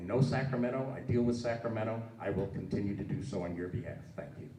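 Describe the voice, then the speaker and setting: A man talks at a very fast pace with a medium pitch and ordinary pitch variation. His loudness swings widely, with audible room echo and noticeable background noise. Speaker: political candidate, legislative advocate. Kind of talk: campaign speech at candidate forum.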